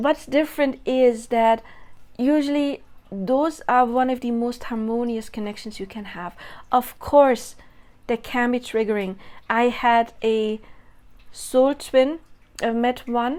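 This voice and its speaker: Over a very clean recording with a silent background, a woman with a non-native accent speaks in a high voice at a very slow pace, leaving long, frequent pauses. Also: ordinary pitch variation. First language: not English. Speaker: spiritual content creator. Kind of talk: monologue video. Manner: casual, self-correcting.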